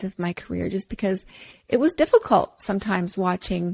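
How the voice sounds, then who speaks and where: Speaking at a fairly quick pace with lively intonation and a medium pitch, a woman with an unremarkable speaking voice comes through in a dry, close sound with no echo on a very clean recording with a silent background. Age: 40s. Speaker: personal trainer and podcast host. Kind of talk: casual podcast monologue.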